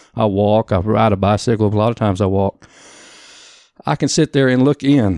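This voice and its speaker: Recorded very cleanly against a silent background, a man with an American accent speaks at a fairly quick pace, his fairly low voice showing ordinary pitch variation. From Oklahoma. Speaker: photographer. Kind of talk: casual interview. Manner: halting, laughing often.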